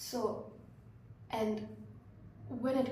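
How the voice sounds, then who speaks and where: A soft-spoken woman at a fairly high pitch, with noticeable background noise and audible room echo. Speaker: vlogger. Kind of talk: casual monologue. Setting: hostel room. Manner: hesitant.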